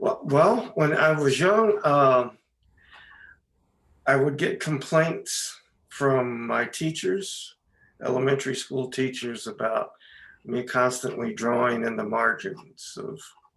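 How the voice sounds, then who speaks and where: Speaking at a very slow pace with long, frequent pauses, a man with an American accent uses lively intonation. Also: fairly high pitch for a man. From US South, Virginia Beach, Virginia. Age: 60s. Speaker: artist and drawing teacher. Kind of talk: interview. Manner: halting, many fillers.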